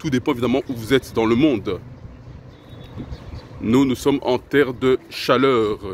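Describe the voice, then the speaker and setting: A man with a non-native accent speaks at a medium pitch and a fairly slow pace. He takes long, frequent pauses. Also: fairly even intonation. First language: not French (speaking French). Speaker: self-improvement video host. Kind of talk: casual spoken monologue to camera.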